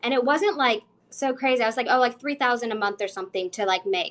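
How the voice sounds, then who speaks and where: On a very clean recording with a silent background, a woman speaks at a fairly high pitch. She goes at a fairly quick pace with ordinary pitch variation. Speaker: financial coach. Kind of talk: casual chat in live Q&A. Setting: social media livestream. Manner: fast.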